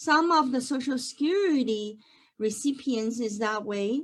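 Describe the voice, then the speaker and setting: Pitch varies in an ordinary way as the speech unfolds at a fairly slow pace. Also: woman. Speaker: accountant. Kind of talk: online webinar presentation. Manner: dynamic, lively.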